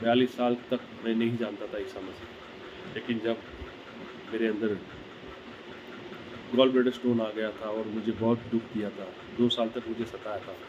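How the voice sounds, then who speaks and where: Amid noticeable background noise, a man speaks at a medium pitch in a flat monotone with long, frequent pauses. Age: 60s. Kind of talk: sermon. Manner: halting.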